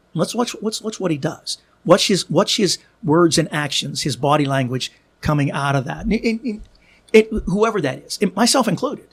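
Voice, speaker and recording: A man with an American accent speaks at a high pitch. His pitch swings very widely. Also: moderate pace. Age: 60s. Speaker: podcaster and author. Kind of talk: casual chat. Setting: studio.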